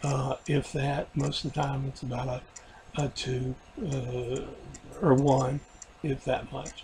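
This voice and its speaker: A man talks fairly slowly at a fairly high pitch while noticeable background noise carries on behind him. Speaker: video diarist after weight loss surgery. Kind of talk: personal video diary. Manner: halting, many fillers.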